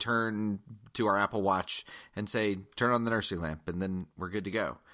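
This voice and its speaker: Against a quiet background, a man with an American accent speaks at a fairly low pitch in a bright, sharp tone. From US South, Georgia. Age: 30s. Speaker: former teacher, podcast co-host. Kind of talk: casual chat.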